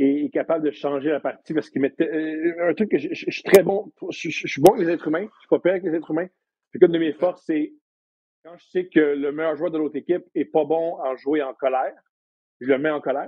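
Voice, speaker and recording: He has an ordinary speaking voice, fairly high for a man, moving at a fairly quick pace with ordinary pitch variation and big swings in loudness. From Quebec, Montreal. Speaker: comedian and podcast host. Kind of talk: casual chat. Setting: studio.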